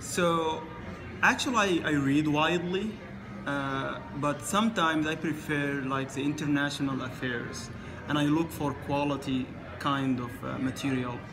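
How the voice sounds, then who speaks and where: The voice moves at a fairly slow pace with ordinary pitch variation. Noticeable background noise and audible room echo fill the recording. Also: man, fairly high pitch for a man. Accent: Arabic. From Sudan. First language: Arabic. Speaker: international student. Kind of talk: interview. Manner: halting.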